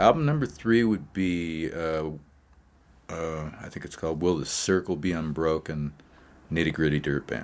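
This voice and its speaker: Very deep and low in pitch, a man with an American accent speaks with ordinary pitch variation and big swings in loudness. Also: moderate pace. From Montana. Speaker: singer-songwriter. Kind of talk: interview conversation.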